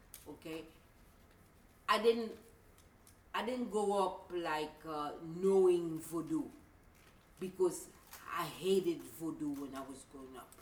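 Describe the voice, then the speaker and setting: A woman with a fairly low pitch and lively intonation speaks at a fairly slow pace, her loudness swinging widely and her speech broken by long, frequent pauses, with audible room echo. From Haiti. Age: 50s. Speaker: voodoo priestess. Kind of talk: interview. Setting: shop.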